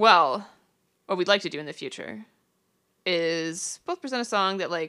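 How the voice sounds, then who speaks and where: Recorded dry and close with no echo against a silent background, a woman with a normal speaking voice talks at a moderate pace in a medium pitch with lively intonation. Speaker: podcast host. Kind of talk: casual chat.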